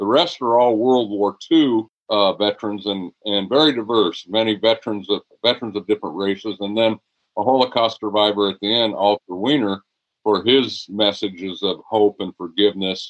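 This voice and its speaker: A man with an ordinary speaking voice talks at a moderate pace, his pitch fairly low with ordinary variation. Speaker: retired high school teacher, football coach and author. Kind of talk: interview conversation.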